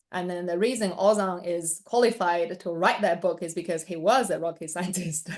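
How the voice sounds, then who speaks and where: With a Chinese accent, a woman talks at a moderate pace and fairly low pitch, her intonation fairly even and hardly any pauses between words. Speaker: interviewer. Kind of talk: interview.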